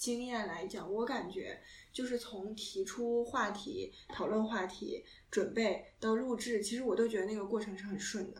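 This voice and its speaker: Her fairly high-pitched voice carries a woman's speech along at a moderate pace. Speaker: podcast co-host, graduate. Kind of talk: casual chat. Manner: halting, many fillers.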